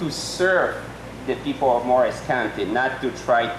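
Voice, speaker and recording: A non-native accent with ordinary pitch variation, over noticeable background noise and audible room echo. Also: man. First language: not English. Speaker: political candidate, accountant. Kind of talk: debate opening statement. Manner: halting.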